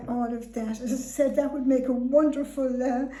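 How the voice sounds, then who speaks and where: Speaking with a west of Ireland accent, a woman keeps a high pitch and a moderate pace. Her intonation is monotone and flat, with audible room echo. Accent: west of Ireland Irish. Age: 80s+. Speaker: elderly relative. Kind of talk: casual chat.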